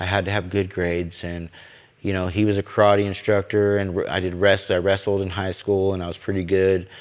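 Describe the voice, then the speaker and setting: In an American accent, a man with a very deep, low pitch talks with monotone, flat intonation. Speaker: recovery home director. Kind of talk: testimony. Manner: halting.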